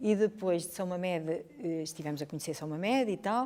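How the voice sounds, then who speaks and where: A woman at medium pitch speaks at a moderate pace in a dark, mellow tone. Her intonation is lively. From northern Portugal (Chaves). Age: 60s. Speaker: history teacher. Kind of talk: interview. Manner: hesitant, with fillers and repetitions.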